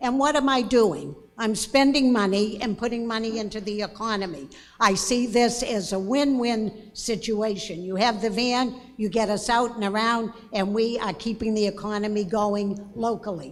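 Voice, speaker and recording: A woman's fairly high pitch with ordinary variation at a moderate pace, in audible room echo. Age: 90s. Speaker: town resident speaking at meeting. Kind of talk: public comment at town meeting. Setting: town meeting hall with audience, microphone.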